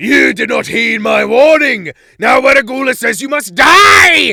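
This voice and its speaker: A man puts on a character voice, raised and projected, at an extremely high pitch. He speaks at a moderate pace with lively intonation. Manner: mad, angry, howling.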